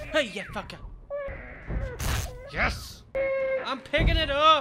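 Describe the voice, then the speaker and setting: Amid loud background noise, a man speaks at a very slow pace. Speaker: gamer, let's play streamer. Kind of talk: gaming commentary. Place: home room. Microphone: studio mic.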